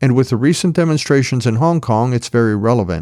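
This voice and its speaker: A man's plain, everyday voice at medium pitch, fairly quick with lively intonation, on a very clean recording with a silent background. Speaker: podcast host. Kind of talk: podcast intro.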